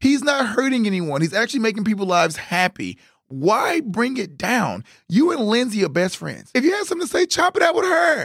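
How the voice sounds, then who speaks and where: A man's animated tone at a fairly quick pace, with very wide pitch swings. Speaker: podcast co-host. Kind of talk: casual chat.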